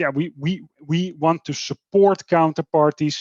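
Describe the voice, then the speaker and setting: A man with a normal speaking voice talks at a moderate pace and fairly high pitch, with fairly even intonation. The recording is dry and close with no echo, over a quiet background. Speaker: development bank climate specialist on a panel. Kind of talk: webinar panel presentation.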